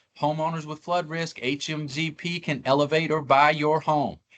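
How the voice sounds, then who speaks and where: Against a quiet background, a man speaks in a fairly high pitch. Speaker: government grant officer. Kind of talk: webinar presentation. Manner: fast.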